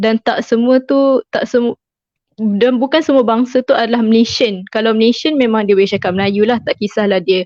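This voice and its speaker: The speech moves at a fairly quick pace. Its loudness is very even, with ordinary pitch variation. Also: woman, fairly high pitch for a woman. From Malaysia, Kelantan. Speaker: chemistry graduate, former student leader. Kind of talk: online interview. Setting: Facebook live stream.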